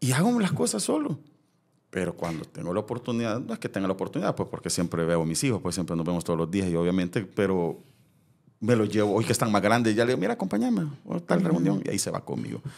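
Speaking very fast, a man uses lively intonation. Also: fairly low pitch for a man. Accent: Salvadoran. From El Salvador. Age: 40s. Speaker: former TV presenter. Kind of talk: casual interview chat.

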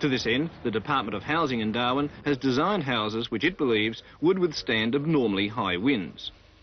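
Man with lively intonation at a fairly quick pace, dry sound with no echo, light background noise. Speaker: news reporter. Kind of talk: news report narration.

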